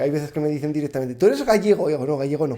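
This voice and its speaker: The man's voice has a dark, mellow tone. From Spain, Zaragoza (Aragon). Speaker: podcast guest, content creator. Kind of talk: casual interview chat.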